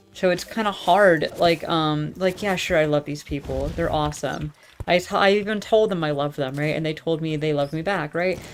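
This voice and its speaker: A soft-spoken woman talks with a very deep, low pitch and ordinary pitch variation. Her pace is moderate, with hardly any pauses. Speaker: streamer. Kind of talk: casual monologue. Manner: halting.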